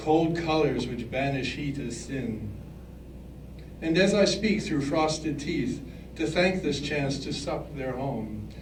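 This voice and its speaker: Noticeable background noise and audible room echo surround a man speaking at a very slow pace, with fairly high pitch and ordinary pitch variation. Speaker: poet. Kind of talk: poetry reading. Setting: live reading before an audience. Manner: slightly mumbling.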